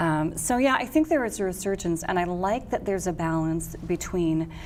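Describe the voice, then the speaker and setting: A woman with a plain, everyday voice and an American accent, fairly low in pitch, with ordinary pitch variation and a moderate pace. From Wisconsin, Milwaukee. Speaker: jazz singer and vocal coach. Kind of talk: interview conversation.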